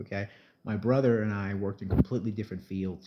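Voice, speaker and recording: A man with a New Jersey accent at a very fast pace, fairly low in pitch, dark and mellow in tone, with fairly even intonation over a quiet background. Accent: New Jersey American English. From South Jersey, US. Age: 40s. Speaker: entertainer vlogger. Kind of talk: casual vlog monologue.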